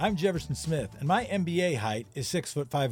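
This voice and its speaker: A man speaks while music plays in the background. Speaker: podcast host. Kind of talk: casual interview.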